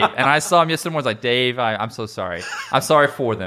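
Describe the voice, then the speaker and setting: A man talks here. Noticeable background noise is present behind him. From Kentucky. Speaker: high school percussion director. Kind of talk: casual chat.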